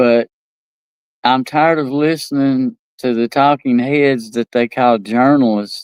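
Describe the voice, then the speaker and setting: A man in an East Tennessee accent, medium-pitched and fairly slow, with fairly even intonation, very even loudness, and a dry, close sound with no echo. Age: old. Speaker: talk show host. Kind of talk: casual monologue. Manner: halting, many repetitions.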